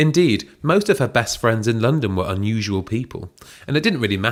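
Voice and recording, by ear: A text is read out loud. The reader uses a natural voice.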